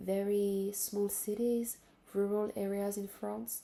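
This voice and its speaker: Here a woman speaks at a medium pitch in a dark, mellow tone. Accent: French. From Benin and Central African Republic, French-speaking. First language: French. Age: 20s. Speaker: vlogger. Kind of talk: casual monologue to camera. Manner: halting, with fillers and restarts.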